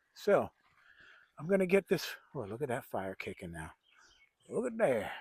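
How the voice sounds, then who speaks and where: A man with vocal fry and a fairly high pitch speaks at a moderate pace, his pitch swinging very widely and his loudness in big swings, in a dry, close sound with no echo. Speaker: bushcraft vlogger. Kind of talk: casual outdoor vlog. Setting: outdoors at backyard camp.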